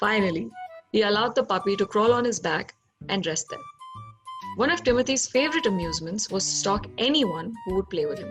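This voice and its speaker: The speaker moves at a fairly quick pace with lively intonation, and music plays in the background. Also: woman. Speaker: actor. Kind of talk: storybook narration.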